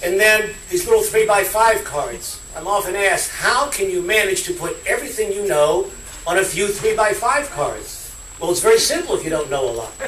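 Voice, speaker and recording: Audible room echo hangs on the man's voice. Noticeable background noise is present as well. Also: moderate pace. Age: 60s. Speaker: politician. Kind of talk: political speech.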